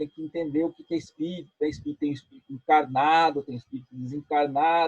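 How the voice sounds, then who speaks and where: A somewhat breathy male voice, fairly high in pitch. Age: 60s. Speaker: spiritist speaker. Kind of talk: interview.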